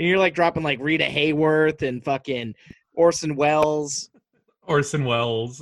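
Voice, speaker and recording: Here a man speaks in a fairly high pitch at a moderate pace. His intonation is fairly even. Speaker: movie podcast co-host. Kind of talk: casual chat. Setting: video call. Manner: mumbling.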